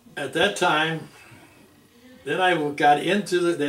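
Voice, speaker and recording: Audible echo from the room surrounds speech with fairly even intonation. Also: man. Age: 80s+. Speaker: Navy veteran. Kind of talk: oral history interview. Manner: halting, with many restarts.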